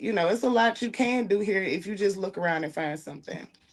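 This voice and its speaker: A woman talks with vocal fry. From New Orleans, Louisiana. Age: 30s. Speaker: podcast host. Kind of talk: podcast interview. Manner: animated.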